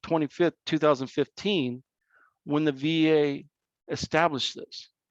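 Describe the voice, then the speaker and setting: In a dry, close sound with no echo, a man speaks at a moderate pace with a fairly high pitch and fairly even intonation. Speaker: veterans service officer. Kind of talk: presentation. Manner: halting.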